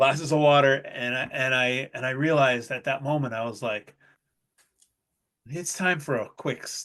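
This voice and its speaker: Loud and bright with a sharp tone, a man speaks at a moderate pace with a fairly high pitch and ordinary pitch variation. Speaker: chef. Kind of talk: casual chat.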